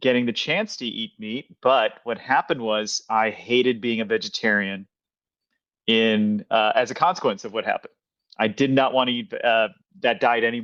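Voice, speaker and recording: A man with a normal speaking voice and an American accent talks at medium pitch and a moderate pace with ordinary pitch variation, the sound dry and close with no echo. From Kansas, US. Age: 40s. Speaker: podcast host. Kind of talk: casual interview.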